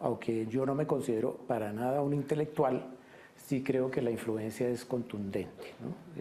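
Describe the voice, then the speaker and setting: In a dark, mellow tone, a man speaks at a fairly slow pace with fairly even intonation. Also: medium pitch for a man. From Colombia, Bogotá. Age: 50s. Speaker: painter. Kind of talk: interview. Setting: painter's studio. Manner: halting, many fillers.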